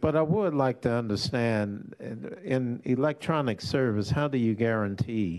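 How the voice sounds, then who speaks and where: A man's plain, everyday voice with lively intonation at a fairly slow pace. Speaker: legislator. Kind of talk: legislative committee hearing. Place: hall. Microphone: podium.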